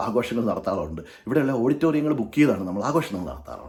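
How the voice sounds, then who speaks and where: A medium-pitched man speaks with vocal fry and very wide pitch swings. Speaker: YouTube vlogger. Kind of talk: monologue to camera.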